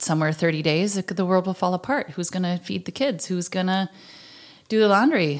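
A woman with an Upper Midwest accent and ordinary pitch variation. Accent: Upper Midwest American. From southwestern Minnesota. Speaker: podcast host. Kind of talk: testimony.

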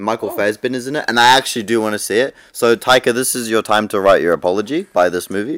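Speaking very fast with hardly any pauses, a man with a New Zealand accent and medium pitch shows ordinary pitch variation over a very clean recording with a silent background. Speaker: podcast co-host. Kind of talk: casual chat.

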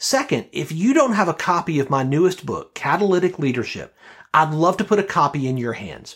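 Speaking fairly quickly with an American accent, a man uses a high pitch and very wide pitch swings. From US South, Birmingham, Alabama. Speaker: podcast host and leadership coach. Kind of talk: interview; scripted outro.

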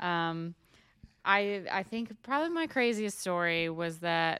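A woman with a plain, everyday voice, fairly low pitch and ordinary pitch variation, in a very clean recording with a silent background. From Washington State, small town. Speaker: cattle farmer. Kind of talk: casual chat. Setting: recorded on a laptop.

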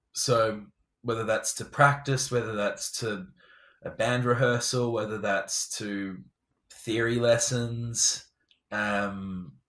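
The speaker talks at a very slow pace with an English accent. Pitch varies in an ordinary way. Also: man. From England. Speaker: tech startup founder and former musician. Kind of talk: interview.

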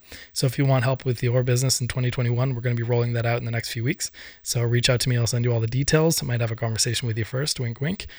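A man with an Irish accent talks at a very fast pace in a medium pitch, somewhat breathy, with fairly even intonation. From Ireland. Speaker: podcast host and business consultant. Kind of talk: solo podcast monologue. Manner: hesitant, many fillers and repeats.

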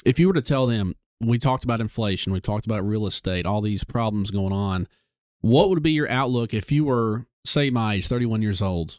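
A man with a normal speaking voice talks at medium pitch and a fairly quick pace, with ordinary pitch variation and a dry, close sound that has no echo. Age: 30s. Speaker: podcast host and doctor. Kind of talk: interview. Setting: studio.

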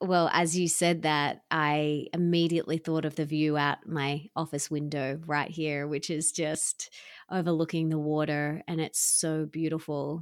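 In an Australian accent, a woman with a very deep, low pitch speaks at a fairly slow pace with hardly any pauses and monotone, flat intonation, on a very clean recording with a silent background. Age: 30s. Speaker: self-love teacher and author. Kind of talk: interview.

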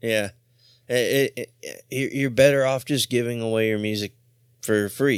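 A man with a normal speaking voice, medium pitch and fairly even intonation at a fairly slow pace, dry and close with no echo on a very clean recording with a silent background. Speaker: radio host. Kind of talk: radio DJ patter, casual punk radio banter with profanity. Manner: relaxed, jokey, laughing.

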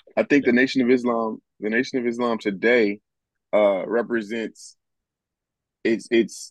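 The speech goes at a moderate pace with fairly even intonation and a dry, close sound with no echo. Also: man. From Los Angeles, US. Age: 30s. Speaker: activist. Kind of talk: casual chat.

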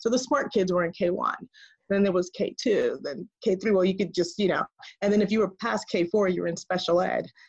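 A woman speaks with a Spanish accent at a medium pitch. Her pace is moderate, her pitch variation ordinary, and the background quiet. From New York City. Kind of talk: interview. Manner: halting.

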